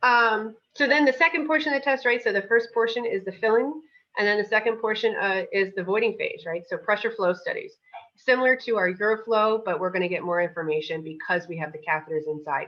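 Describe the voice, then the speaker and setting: Lively intonation marks this speaker with an American accent. The pace is very fast. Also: woman, fairly high pitch for a woman. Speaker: urologist. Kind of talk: lecture.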